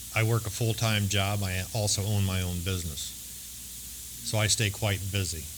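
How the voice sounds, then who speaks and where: A man with a fairly low voice speaks at a moderate pace, with ordinary pitch variation and very even loudness, in a room with audible echo. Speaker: recovering alcoholic speaker. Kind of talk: testimony. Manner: hesitant, with frequent fillers.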